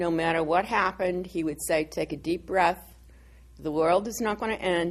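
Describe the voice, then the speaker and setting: A woman's fairly low pitch and fairly even intonation at a moderate pace, against a quiet background. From Massachusetts. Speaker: retired college dean. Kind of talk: oral history interview. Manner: casual, halting.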